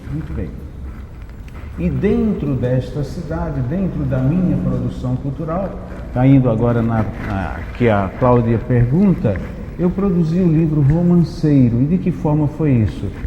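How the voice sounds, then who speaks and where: A man at medium pitch with very wide pitch swings and a fairly slow pace, amid noticeable background noise and audible room echo. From Brazil, Paraíba (Northeast). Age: 60s. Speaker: poet and cultural producer. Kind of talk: panel discussion.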